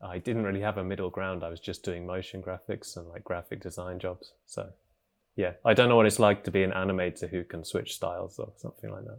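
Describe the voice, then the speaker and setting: In a very clean recording with a silent background, a man with a southern English accent and a very deep, low pitch speaks at a very fast pace with fairly even intonation and big swings in loudness. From England, Cambridge. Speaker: animator. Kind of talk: casual interview.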